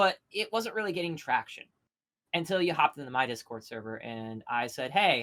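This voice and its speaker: The speaker has an American accent. The delivery is very fast. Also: woman. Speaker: YouTube creator. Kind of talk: casual commentary chat.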